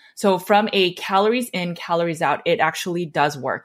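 On a very clean track with a silent background, a woman's pitch rises and falls in an ordinary way. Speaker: podcast host and nutrition coach. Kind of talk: casual podcast discussion. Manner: fast.

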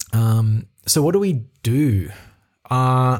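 A somewhat breathy male voice with ordinary pitch variation. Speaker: podcast host. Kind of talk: solo reflective monologue. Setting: talking into a microphone alone.

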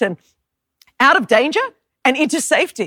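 The voice has a bright, sharp tone, an Australian accent and very wide pitch swings. The sound is dry and close with no echo, on a very clean recording with a silent background. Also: woman. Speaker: preacher. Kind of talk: sermon. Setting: church.

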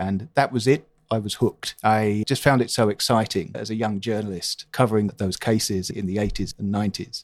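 A man with a southern English accent speaks at a fairly quick pace with hardly any pauses. His pitch is fairly low and his intonation fairly even. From London, England. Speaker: newspaper columnist. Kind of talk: interview.

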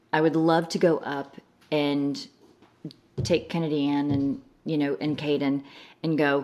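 A woman with a very deep, low voice speaks in a monotone, flat way, leaving long, frequent pauses. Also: fairly slow pace. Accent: American. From US Midwest, Chicago suburbs, Illinois. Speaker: pageant director. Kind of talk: casual interview chat.

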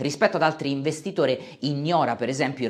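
A normal speaking voice from a man at medium pitch and a fairly quick pace. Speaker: finance YouTuber. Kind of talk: scripted narration.

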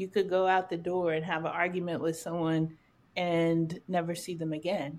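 Over a very clean recording with a silent background, a woman speaks at a moderate pace with a fairly low pitch and monotone, flat intonation. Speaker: podcast host. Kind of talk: casual conversational podcast intro and moderating.

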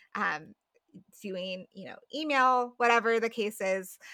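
A woman's bright, sharp voice, fairly high in pitch. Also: dry, close sound with no echo. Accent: American. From Colorado, US. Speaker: writer, podcaster and former missionary. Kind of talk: interview conversation.

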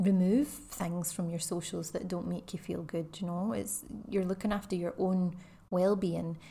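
A woman with a Scottish accent, medium-pitched, somewhat breathy and dark and mellow in tone, at a fairly slow pace with fairly even intonation. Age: 30s. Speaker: podcast host, ex-teacher and wellbeing coach. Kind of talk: casual solo podcast monologue.

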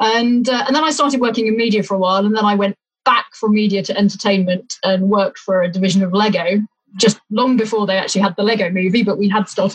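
At a very fast pace, a woman speaks at a medium pitch, somewhat breathy, with fairly even intonation and very even loudness. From England, Leicestershire. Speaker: sailor and executive coach. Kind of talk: casual interview.

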